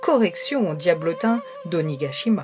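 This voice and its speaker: The tone is calm and gentle, at a fairly slow pace. Music plays in the background. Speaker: storyteller for children's relaxation stories. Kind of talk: soothing children's bedtime story narration. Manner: calm, gentle, soothing.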